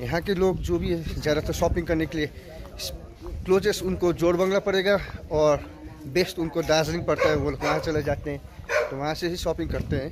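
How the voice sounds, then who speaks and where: A man's speech comes at a moderate pace, with noticeable noise behind him. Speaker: travel vlogger. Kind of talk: casual vlog chat. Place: street. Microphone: phone near.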